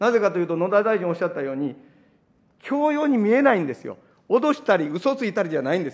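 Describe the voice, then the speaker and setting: Very fast, high-pitched speech from a man, with very wide pitch swings and big swings in loudness over a quiet background. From Japan. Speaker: opposition politician. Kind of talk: parliamentary committee questioning. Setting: parliament committee room. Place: meeting room. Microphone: podium.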